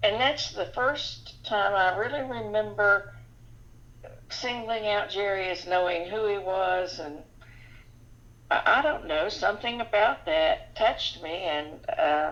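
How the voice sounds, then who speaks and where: A woman speaks at a fairly slow pace with very wide pitch swings. Noticeable background noise is present. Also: medium pitch for a woman. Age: 70s. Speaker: lay preacher and wife of 50 years. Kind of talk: casual interview. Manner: halting with fillers.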